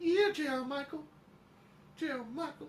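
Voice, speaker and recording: A female-sounding, put-on character voice, high-pitched for a woman, at a moderate pace. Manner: impression of a voice.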